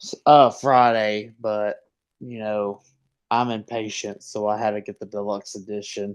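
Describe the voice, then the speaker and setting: Big swings in loudness mark a man's fairly slow, fairly low voice with a Southern US accent and a monotone, flat intonation. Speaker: fantasy football podcast co-host. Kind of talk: casual chat.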